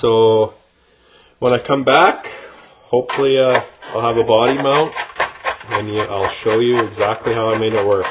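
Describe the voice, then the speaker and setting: Long, frequent pauses at a moderate pace over noticeable background noise. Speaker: RC hobbyist video maker. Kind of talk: workshop tutorial. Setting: workbench. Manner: mumbling, thinking aloud.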